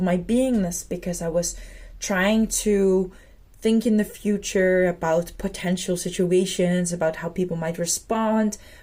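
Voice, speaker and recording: Her voice is medium in pitch and somewhat breathy, with a dark, mellow tone, ordinary pitch variation and a moderate pace. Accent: Dutch. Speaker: spiritual vlogger. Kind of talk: personal reflective monologue. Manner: hesitant, with fillers.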